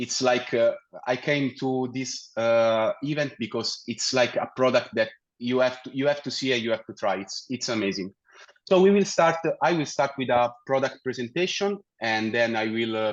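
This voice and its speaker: A man speaks with an Italian accent. His voice sits at a medium pitch. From Italy. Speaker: technical account manager. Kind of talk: webinar presentation. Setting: virtual meetup with screen share. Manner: hesitant, many fillers and restarts.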